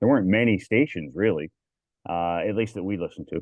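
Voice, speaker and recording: This is a man speaking. He has a Canadian accent. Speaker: public address announcer. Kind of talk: casual interview chat. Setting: podcast livestream. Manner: animated.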